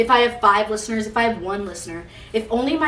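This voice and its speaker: A woman speaks at a fairly high pitch. Audible room echo and noticeable background noise surround her. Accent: American. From Utah, US. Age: 20s. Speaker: podcast host. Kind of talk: casual monologue. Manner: loud.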